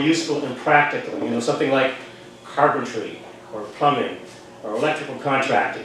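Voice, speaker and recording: A man's fairly high voice comes through at a moderate pace, with noticeable background noise behind him. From Ajax, Ontario, Canada. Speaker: amateur stand-up comedian. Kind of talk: stand-up comedy set to a pub audience. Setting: pub stage with live audience.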